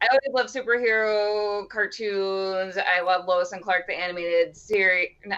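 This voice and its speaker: Talking with a Midwestern accent, a woman keeps a moderate pace with hardly any pauses. Her medium-pitched voice holds fairly even intonation. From US Midwest, Wisconsin. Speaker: cosplayer, comic fan. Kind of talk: casual chat.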